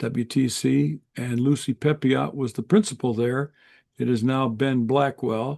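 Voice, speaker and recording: A man's dark, mellow tone at medium pitch, with ordinary pitch variation, in a dry, close sound with no echo. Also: fairly slow pace. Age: 70s. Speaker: professor. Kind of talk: casual chat. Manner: halting.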